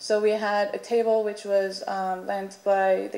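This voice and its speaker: A woman's medium-pitched voice with a dark, mellow tone and monotone, flat intonation, with audible room echo. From Iran. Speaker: artist, panelist. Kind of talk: panel presentation. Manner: halting, many fillers.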